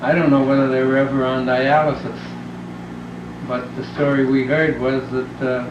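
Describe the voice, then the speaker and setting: A man with an American accent speaks at a fairly slow pace in a monotone, flat intonation. Noticeable background noise and audible room echo fill the recording. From New York, Brooklyn. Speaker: family member being interviewed. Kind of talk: family oral history interview.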